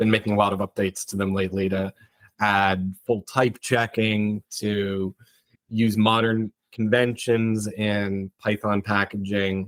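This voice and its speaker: Monotone and flat, a man with an American accent speaks at a fairly low pitch and a fairly slow pace in a dry, close sound with no echo. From US Northeast, Connecticut. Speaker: structural engineer. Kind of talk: interview.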